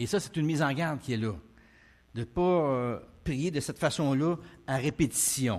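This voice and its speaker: Moderate pace, ordinary pitch variation and long, frequent pauses over a quiet background. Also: man, fairly high pitch for a man. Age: 60s. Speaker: preacher. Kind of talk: sermon. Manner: hesitant, many fillers.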